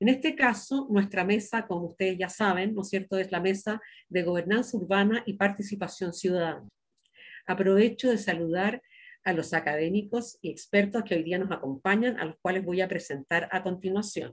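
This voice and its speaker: The voice is somewhat breathy, with ordinary pitch variation. It moves at a moderate pace against a quiet background. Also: woman. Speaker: workshop moderator. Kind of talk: formal welcome and introduction. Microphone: video call.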